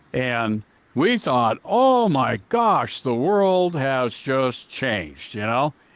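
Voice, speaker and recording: Very slowly, a man speaks at a medium pitch. His pitch swings very widely, and the background is quiet. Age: 60s. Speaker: auto parts software company founder. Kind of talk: interview. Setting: podcast.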